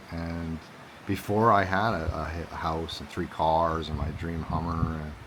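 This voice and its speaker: Audible room echo surrounds a man with a very deep, low pitch. He speaks at a fairly slow pace with fairly even intonation. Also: big swings in loudness. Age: 40s. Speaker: vlogger. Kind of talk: personal vlog monologue. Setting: outdoors. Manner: halting, repetitive.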